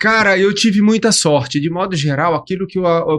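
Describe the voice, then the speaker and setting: This man has a normal speaking voice. He talks at a moderate pace with ordinary pitch variation. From Brasília, Brazil (born in Aracaju, Sergipe). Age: 50s. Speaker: professor and business founder. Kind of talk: podcast interview. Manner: casual.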